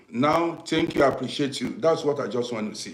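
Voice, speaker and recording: Over noticeable background noise, a man speaks with an African accent. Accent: African English accent, natural. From Nigeria. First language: Nigerian native language. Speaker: live streamer, commentator on African affairs. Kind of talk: live stream talk to viewers. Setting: live broadcast on social media. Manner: repetitive, conversational; deliberate, not rushing.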